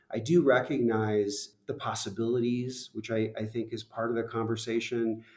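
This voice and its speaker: A man with an unremarkable speaking voice talks at a moderate pace. His pitch is medium and his intonation fairly even. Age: 50s. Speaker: tourism office director. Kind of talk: interview.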